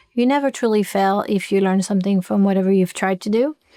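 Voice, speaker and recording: Someone speaks in a French accent on a very clean recording with a silent background. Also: woman. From France. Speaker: gymnastics coach. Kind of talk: podcast interview.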